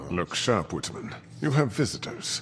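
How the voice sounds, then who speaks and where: A man's put-on character voice at medium pitch, over clear background noise. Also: moderate pace. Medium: video game. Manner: smug, cold, menacing.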